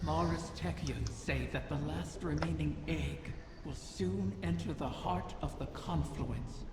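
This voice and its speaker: A cartoonish character voice goes along at a fairly slow pace. Loud background noise and a clear echo fill the recording. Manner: formal, grand, reflective.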